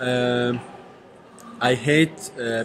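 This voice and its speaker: Over noticeable background noise, a man with an Arabic accent speaks at a medium pitch with ordinary pitch variation. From Kuwait. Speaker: university language student. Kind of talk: casual interview practice. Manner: halting.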